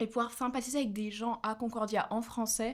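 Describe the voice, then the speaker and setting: The speaker is a woman with a fairly high pitch. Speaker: university student, delegation co-leader. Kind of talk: casual interview.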